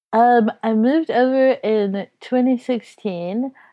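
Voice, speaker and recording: Fairly high in pitch, this woman speaks with an American accent. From Texas. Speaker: comedian. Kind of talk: casual chat.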